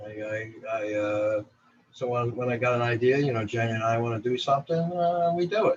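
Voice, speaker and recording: This man speaks with a New Jersey accent. His pitch is medium, with ordinary pitch variation. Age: 60s. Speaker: photographer. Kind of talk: interview.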